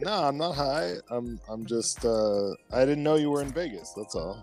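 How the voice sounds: Medium-pitched male speech with very wide pitch swings at a moderate pace, music in the background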